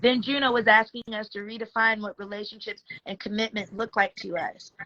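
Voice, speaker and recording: With an unremarkable speaking voice, a woman talks at a fairly quick pace and a fairly high pitch, with ordinary pitch variation and big swings in loudness. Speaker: astrology livestream host. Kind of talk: casual livestream chat about astrology.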